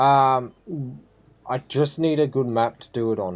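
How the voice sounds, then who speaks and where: Here a man speaks with an Australian accent. The pace is fairly slow. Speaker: gaming streamer. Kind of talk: live gameplay commentary. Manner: casual, rambling with fillers.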